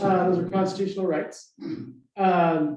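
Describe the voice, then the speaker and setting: Speaking with an American accent, the man keeps a moderate tempo. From Southern Nevada. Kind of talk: forum presentation. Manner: casual with frequent fillers.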